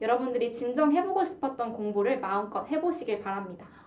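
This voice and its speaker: Noticeable background noise surrounds a woman as she speaks. Her pitch is high and her intonation lively. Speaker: university broadcasting announcer. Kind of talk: radio talk show.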